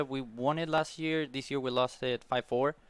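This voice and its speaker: A man speaks with an Argentine accent. His pace is moderate. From Argentina. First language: Spanish. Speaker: college tennis player. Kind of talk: interview. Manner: halting.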